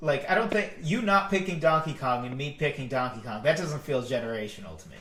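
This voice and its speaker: Speaking with an American accent, a man uses a fairly high pitch and lively intonation at a moderate pace. Audible room echo surrounds his voice. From Massachusetts. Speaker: podcast co-host. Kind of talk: casual discussion. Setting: live stream.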